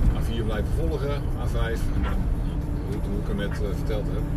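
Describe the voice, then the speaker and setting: A man talks at a very slow pace. Behind him, music plays. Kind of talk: casual driving commentary. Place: car. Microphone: phone near.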